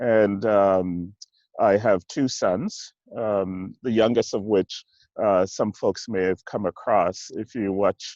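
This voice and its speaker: At a very slow pace, a man speaks with a slight Jamaican accent, a fairly low pitch and fairly even intonation, in a dry, close sound with no echo and a quiet background. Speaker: church executive minister. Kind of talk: interview. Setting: video call from outdoors in a park. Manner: halting.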